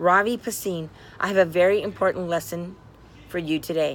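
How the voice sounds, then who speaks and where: A female-sounding voice puts on a raspy character voice at a middle pitch. The delivery moves at a fairly quick pace. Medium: read story. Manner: commanding, stern.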